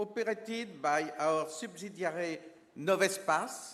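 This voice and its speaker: In a French accent, a man speaks very slowly at a high pitch with lively intonation. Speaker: space agency official presenting an award. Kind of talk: ceremony speech. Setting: stage with audience. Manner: formal.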